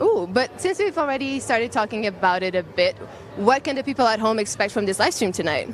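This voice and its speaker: A woman's fairly high, very fast voice with lively intonation and a Portuguese accent, over noticeable background noise. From Portugal. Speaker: live event host. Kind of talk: live event hosting. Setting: outdoors at a premiere, live stream. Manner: animated.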